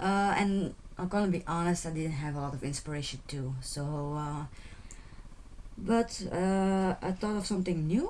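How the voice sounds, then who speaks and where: A woman speaks with a Flemish accent in a fairly low voice. Her pace is moderate, with ordinary pitch variation. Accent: Flemish Dutch accent in English. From Belgium (Flanders). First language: Dutch. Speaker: beading tutorial creator. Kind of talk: tutorial. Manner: halting, many fillers and repetitions.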